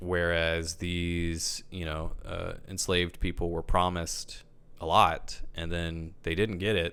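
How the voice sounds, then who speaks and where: Very deep and low, a man's voice carries a bright, sharp tone and an American accent. He speaks at a very slow pace in monotone, flat intonation on a very clean recording with a silent background. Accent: Southern US, comes out at times. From US South. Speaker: film producer and actor. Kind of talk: podcast interview.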